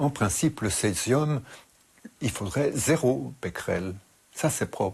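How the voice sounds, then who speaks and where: A man speaks at a medium pitch with vocal fry and lively intonation. His pace is very slow, broken by long, frequent pauses. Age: 80s. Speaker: expert interviewee on radiation. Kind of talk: interview. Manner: halting, with hesitations.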